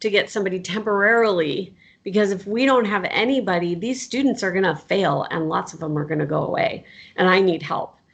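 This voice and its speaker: With an American accent, a woman uses a normal speaking voice at medium pitch, her intonation lively. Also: fairly quick pace. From US Southwest. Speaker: professor. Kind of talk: casual interview chat.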